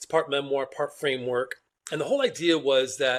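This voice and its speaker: On a very clean recording with a silent background, a man talks at a fairly quick pace with ordinary pitch variation in an ordinary speaking voice. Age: 60s. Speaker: author and wellness business founder. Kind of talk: podcast interview.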